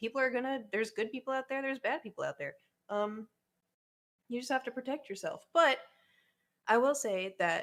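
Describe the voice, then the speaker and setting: A woman with a slight Oklahoma accent talks at a fairly quick pace and a high pitch, with ordinary pitch variation and long, frequent pauses. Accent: Oklahoma accent, slight twang. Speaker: YouTuber and streamer. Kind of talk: casual chat. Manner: hesitant, many fillers.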